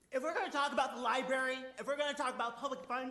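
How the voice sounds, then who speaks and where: A man projects a raised voice at an extremely high pitch. Room echo is audible around him. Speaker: protester at public comment. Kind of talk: public comment, protest. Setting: city council meeting. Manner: loud. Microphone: no microphone.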